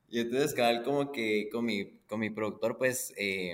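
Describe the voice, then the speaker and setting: A plain, everyday voice. Its pitch rises and falls by an ordinary amount. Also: man. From Guatemala. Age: 20s. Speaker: musician. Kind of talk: casual chat.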